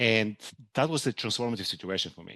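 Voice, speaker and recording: With a Bulgarian accent, a man speaks fairly quickly at a fairly low pitch with ordinary pitch variation against a quiet background. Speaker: hedge fund manager. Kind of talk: podcast interview.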